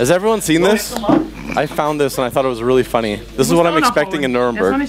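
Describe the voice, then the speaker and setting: With a fairly high pitch, a man talks very fast, his pitch swinging very widely. Background noise is noticeable. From Canada, Montreal. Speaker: conference speaker, software developer. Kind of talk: conference talk. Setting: stage with audience.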